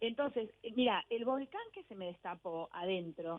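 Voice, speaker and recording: An ordinary speaking voice from a woman, fairly high in pitch, with lively intonation at a fairly slow pace. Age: 50s. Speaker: author and journalist. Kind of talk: radio interview.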